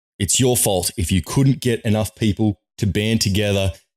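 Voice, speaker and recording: A man speaks with a slight Australian accent and an animated tone. The recording is very clean, with a silent background. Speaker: political commentator, vlogger. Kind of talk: opinion rant to camera. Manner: emphatic, animated.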